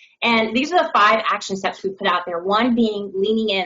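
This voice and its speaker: A woman talks at a fairly quick pace in a plain, everyday voice. Her pitch is medium. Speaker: diversity and inclusion director. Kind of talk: panel discussion. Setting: video call.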